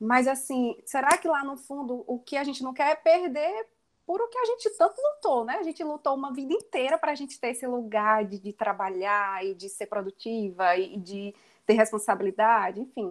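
The woman's pitch is high and swings very widely. She keeps a moderate pace, with big swings in loudness. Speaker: mother sharing experience on career and motherhood. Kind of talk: casual group conversation.

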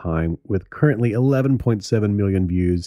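A man's dark, mellow voice at a moderate pace, with ordinary pitch variation against a quiet background. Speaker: podcast host. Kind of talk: interview and casual narration. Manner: hesitant, many fillers.

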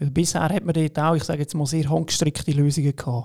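A man with a fairly high pitch speaks in a dark, mellow tone and fairly even intonation. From Switzerland, Lucerne. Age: 30s. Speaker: fintech founder. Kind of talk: podcast interview. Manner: halting, many fillers.

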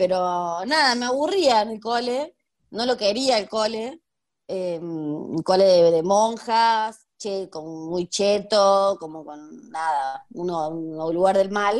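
A woman's medium-pitched voice at a very slow pace, with lively intonation, big swings in loudness and a quiet background. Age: 30s. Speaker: history teacher and researcher. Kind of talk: interview conversation.

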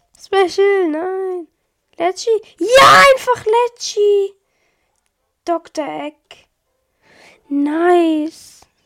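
The speech moves at a very slow pace with long, frequent pauses and lively intonation. The sound is dry and close, with no echo. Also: woman, extremely high pitch for a woman. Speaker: gaming video creator. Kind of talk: gameplay commentary. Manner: animated.

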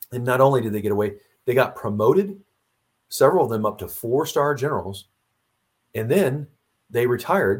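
A man with an American accent speaks at a fairly quick pace and medium pitch, leaving long, frequent pauses. His voice sounds somewhat breathy. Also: lively intonation. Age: old. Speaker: retired Marine officer and author. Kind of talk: interview.

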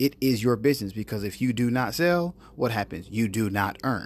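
A man talks with an American accent. His voice is medium in pitch. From North Carolina, small town. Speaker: podcast host, entrepreneur. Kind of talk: solo monologue podcast. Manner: hesitant, many fillers.

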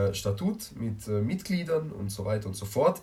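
The man's voice is somewhat breathy, with a medium pitch and a moderate pace. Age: young. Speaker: podcast host, youth group member. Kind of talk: casual chat. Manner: hesitant, many fillers.

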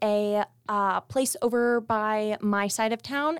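Speaking with an American accent, a woman goes at a very slow pace. The sound is dry and close, with no echo. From Las Vegas, US. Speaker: college student. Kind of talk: casual chat. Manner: animated.

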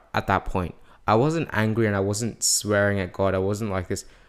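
Recorded very cleanly with a silent background, a man speaks at a fairly low pitch with ordinary pitch variation. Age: young. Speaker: podcast guest. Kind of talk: testimony. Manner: halting.

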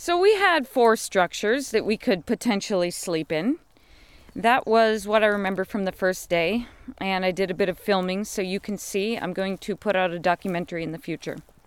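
With an American accent, a plain, everyday voice moves at a moderate pace with ordinary pitch variation in a dry, close sound with no echo. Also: woman, medium pitch for a woman. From United States. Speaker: podcast host. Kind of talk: casual monologue.

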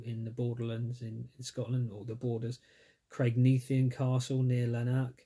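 A man's somewhat breathy, medium-pitched voice in an English accent at a moderate pace. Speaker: podcast host. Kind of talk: solo podcast monologue. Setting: recording alone during lockdown. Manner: hesitant with many fillers.

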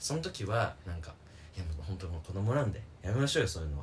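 Putting on a character voice, a man rattles along at a very fast pace with a very deep, low pitch, very wide pitch swings and a shaky sound. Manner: trembling, nervous, pleading.

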